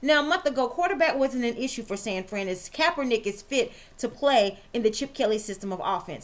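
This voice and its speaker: Her voice high-pitched, a woman talks at a fairly quick pace with lively intonation. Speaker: sports show host and writer. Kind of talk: scripted sports commentary. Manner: fast.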